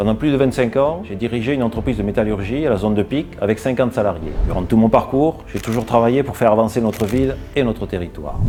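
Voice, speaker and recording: A man races along at a very fast pace with hardly any pauses, at a medium pitch and ordinary pitch variation. Noticeable background noise sits behind him. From southern France, Ariège. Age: 60s. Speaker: local election candidate. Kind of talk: campaign speech. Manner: formal.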